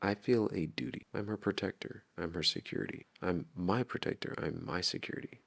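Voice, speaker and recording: A man's very deep, low voice at a fairly quick pace, with ordinary pitch variation and a dry, close sound with no echo. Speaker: vlogger narrating his relationship content. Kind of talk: recorded voice-over narration. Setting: home at night while partner sleeps. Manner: quiet, hushed.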